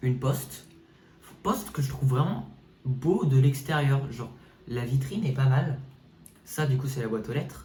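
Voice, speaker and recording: There is audible room echo as a man speaks at a fairly slow pace in an animated tone. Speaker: gaming YouTuber. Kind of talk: casual game walkthrough commentary. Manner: animated, hesitant with fillers.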